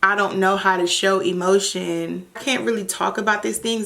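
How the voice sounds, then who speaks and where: A woman of medium pitch speaks at a moderate pace. Noticeable background noise is audible behind her. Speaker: vlogger. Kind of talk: casual monologue to camera. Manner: halting, stuttering and pausing.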